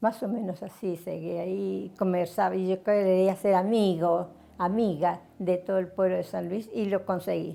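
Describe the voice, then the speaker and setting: Speaking at a fairly slow pace, a woman at medium pitch has a dark, mellow tone and a monotone, flat intonation. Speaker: retired radio announcer. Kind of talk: interview answer.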